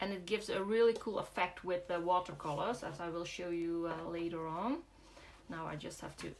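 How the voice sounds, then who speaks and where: Speaking with a Dutch accent at a moderate pace, a woman keeps a medium pitch and ordinary pitch variation. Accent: Dutch accent, soft G. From Netherlands, Brabant. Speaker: craft demonstrator. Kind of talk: live craft tutorial. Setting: livestream. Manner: hesitant, many fillers.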